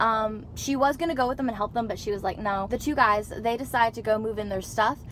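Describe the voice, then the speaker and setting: Very fast speech comes through over light background noise. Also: woman, dry sound with no echo. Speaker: vlogger. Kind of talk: casual vlog chat, storytelling. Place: car. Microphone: phone near.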